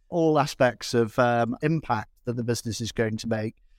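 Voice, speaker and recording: On a very clean recording with a silent background, a man with an ordinary speaking voice talks with fairly even intonation. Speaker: venture investor. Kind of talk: podcast interview.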